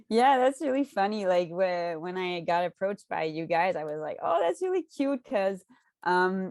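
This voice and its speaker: A woman with a slight Quebec accent, medium pitch and lively intonation, in a dry, close sound with no echo. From Quebec, Canada. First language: French. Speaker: cannabis content creator. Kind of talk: podcast interview.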